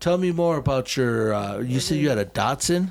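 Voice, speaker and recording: Very wide pitch swings mark this man's speech, delivered at a moderate pace. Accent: American. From Chicago. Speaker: graffiti writer. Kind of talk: casual chat. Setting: studio. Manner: casual, profanity-heavy.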